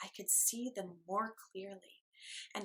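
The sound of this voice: An unforced reading voice carries the clip. Behind it, the background is quiet.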